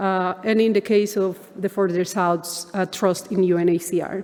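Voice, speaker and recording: Speaking in a Spanish accent, a woman uses a medium pitch with fairly even intonation. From Colombia. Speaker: economics professor. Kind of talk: conference keynote lecture.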